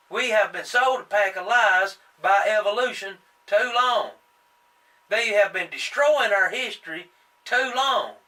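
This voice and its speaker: Raising and projecting his voice, a man with a high pitch and an American accent speaks at a fairly slow pace with ordinary pitch variation and long, frequent pauses. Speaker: young-earth creationist video host. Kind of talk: impassioned monologue. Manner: halting, stumbling on words.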